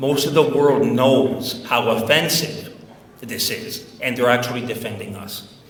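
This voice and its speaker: Heard with audible room echo and noticeable background noise, a man of medium pitch talks fairly slowly, with ordinary pitch variation and big swings in loudness. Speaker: Macedonian diaspora activist. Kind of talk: speech to an audience.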